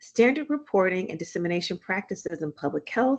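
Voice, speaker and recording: A woman speaks with a Southern US accent. The background is quiet. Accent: Southern US twang. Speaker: physician and author. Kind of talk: reading aloud.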